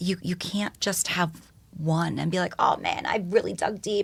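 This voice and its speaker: Somewhat breathy and with a New York accent, the voice moves at a moderate pace with ordinary pitch variation. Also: woman. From New York, Yonkers. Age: 40s. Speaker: educator and speaker. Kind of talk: podcast interview.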